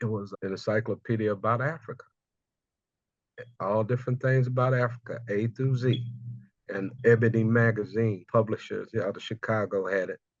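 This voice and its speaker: A man with an American accent speaks at a moderate pace with fairly even intonation. He has a plain, everyday voice. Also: medium pitch for a man. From US South, Houston, Texas. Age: 60s. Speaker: cultural memory specialist. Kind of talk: interview conversation, personal storytelling.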